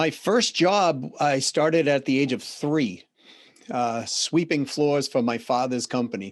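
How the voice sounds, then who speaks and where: Against a quiet background, a man with a Boston accent speaks at a fairly slow pace in a fairly high voice, with lively intonation and very even loudness. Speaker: business consultant and CEO. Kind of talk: podcast interview.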